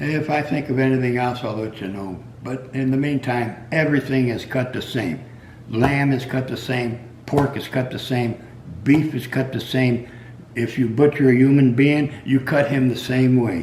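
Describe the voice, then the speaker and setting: A man at a medium pitch and moderate pace, with noticeable background noise and audible room echo. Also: fairly even intonation. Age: 80s+. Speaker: retired meat cutter. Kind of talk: casual storytelling monologue. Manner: halting.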